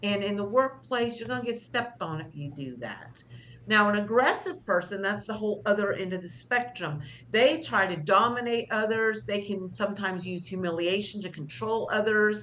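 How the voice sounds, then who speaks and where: A woman's bright, sharp voice at medium pitch, lively in intonation, with big swings in loudness and audible room echo. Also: moderate pace. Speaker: job skills instructor. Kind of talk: class lecture. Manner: loud teacher voice; conversational, with fillers.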